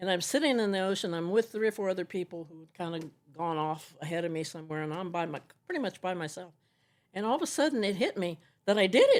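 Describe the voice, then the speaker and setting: On a very clean recording with a silent background, a woman speaks very fast at a medium pitch, her tone animated, her intonation lively and her loudness swinging widely. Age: 70s. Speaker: kayaker and nomad featured in a film. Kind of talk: interview storytelling.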